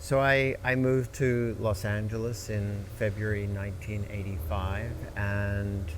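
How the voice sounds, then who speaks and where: A man with an American accent, fairly low-pitched and fairly slow, with fairly even intonation and hardly any pauses, amid noticeable background noise and audible room echo. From Australia, Melbourne. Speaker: entertainment lawyer. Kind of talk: interview conversation.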